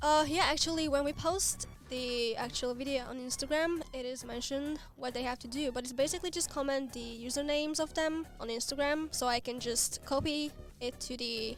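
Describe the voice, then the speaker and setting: The pace holds moderate. Intonation remains fairly even. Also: woman, high pitch for a woman. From Hungary. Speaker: video creator for the game. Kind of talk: livestream Q&A chat.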